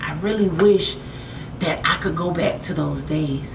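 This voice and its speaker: With an American accent, a woman talks at a moderate pace in an animated tone and a fairly low pitch, over noticeable background noise and audible room echo. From United States. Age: 30s. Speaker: makeup artist and motivational vlogger. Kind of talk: motivational talk.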